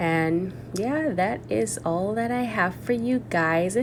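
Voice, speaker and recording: A woman speaks at a very slow pace with very wide pitch swings. Room echo is audible. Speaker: natural hair vlogger. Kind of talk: tutorial. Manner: casual, chatty.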